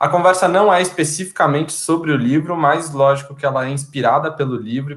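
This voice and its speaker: Here is a man with an unremarkable speaking voice at a fairly high pitch. He moves at a moderate pace with ordinary pitch variation. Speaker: live chat moderator. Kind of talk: casual chat. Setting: online live stream.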